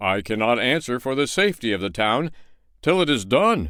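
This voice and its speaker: A man puts on a character voice at medium pitch, swinging very widely in pitch. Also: moderate pace. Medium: read story. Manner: pompous.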